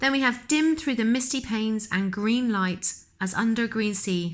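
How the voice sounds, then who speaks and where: In a normal speaking voice, a woman talks at a fairly high pitch and a moderate pace with lively intonation, on a very clean recording with a silent background. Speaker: teacher. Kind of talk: lecture.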